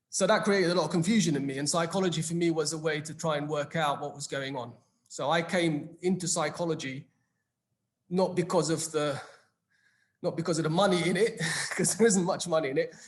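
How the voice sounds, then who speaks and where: With a British accent, a man talks at a fairly quick pace in a high pitch. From England, London. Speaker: psychologist. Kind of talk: panel discussion.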